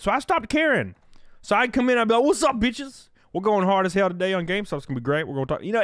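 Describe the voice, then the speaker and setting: A man with a Southern US accent talks at a very fast pace. His high voice makes very wide pitch swings. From backwoods Alabama. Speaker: streamer.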